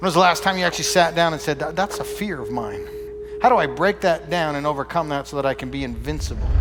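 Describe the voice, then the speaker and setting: With music in the background, a man talks very fast. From Canada. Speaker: motivational speaker. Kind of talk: motivational keynote speech.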